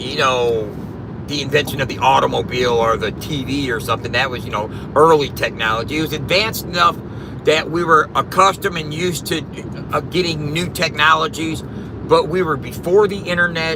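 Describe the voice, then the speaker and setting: A man talks at a fairly quick pace with a fairly high pitch and ordinary pitch variation while noticeable background noise plays. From US Midwest, South St. Louis, Missouri. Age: 50s. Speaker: live streamer. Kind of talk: casual live stream chat.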